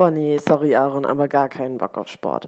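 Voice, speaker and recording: A woman is speaking. Her very deep, low voice has a dark, mellow tone. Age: 20s. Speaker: student podcast co-host. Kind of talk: casual chat.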